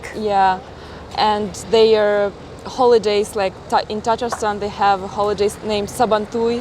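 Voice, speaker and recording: A woman with a Russian accent talks at a fairly slow pace and fairly high pitch. Her intonation is monotone and flat, with noticeable background noise behind her. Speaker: travel vlogger. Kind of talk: casual interview.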